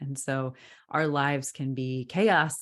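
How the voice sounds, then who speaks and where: A woman speaks in a very deep, low voice against a quiet background. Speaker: podcast host. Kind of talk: casual podcast conversation.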